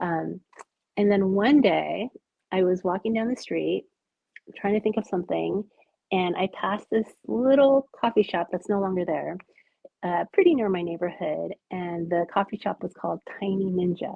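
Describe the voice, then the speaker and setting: In a Californian accent, a woman talks at a medium pitch. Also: ordinary pitch variation, moderate pace. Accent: General American, California. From US West Coast, Los Angeles. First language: Japanese. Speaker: artist, author and illustrator. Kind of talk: podcast interview. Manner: hesitant, many fillers.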